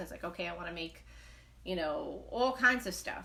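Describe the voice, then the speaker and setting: Her voice sits fairly low for a woman, with lively intonation, a bright, sharp tone and vocal fry. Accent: New York. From New York, Brooklyn. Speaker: knitting livestreamer. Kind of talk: casual live chat. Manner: fast; animated.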